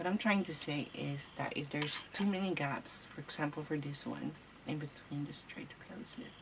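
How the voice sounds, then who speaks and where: With a non-native accent and a very deep, low pitch, a woman speaks at a moderate pace with ordinary pitch variation and big swings in loudness against noticeable background noise. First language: not English. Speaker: crafting tutorial host. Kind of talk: tutorial. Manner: casual, hesitant.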